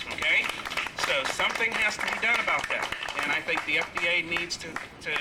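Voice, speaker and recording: Over noticeable background noise, a man's voice comes through. He talks fairly quickly. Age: 50s. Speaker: physical therapist speaking as vaccine trial patient. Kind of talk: rally speech. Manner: hesitant, many fillers.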